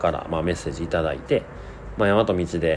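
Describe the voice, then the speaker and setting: Noticeable background noise runs under the recording. A man speaks with a very deep, low pitch. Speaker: podcast host. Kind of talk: casual monologue.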